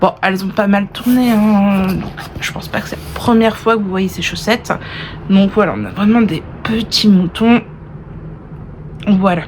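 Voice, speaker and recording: Against noticeable background noise, a woman of medium pitch speaks at a fairly slow pace with fairly even intonation and long, frequent pauses. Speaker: knitting vlogger. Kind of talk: casual vlog chat. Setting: indoors in a holiday rental.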